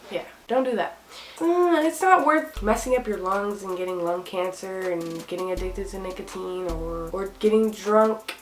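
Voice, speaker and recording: A woman speaks at a medium pitch with ordinary pitch variation and a moderate pace. Noticeable background noise is heard behind her. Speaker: YouTuber giving school advice. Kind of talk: casual vlog advice.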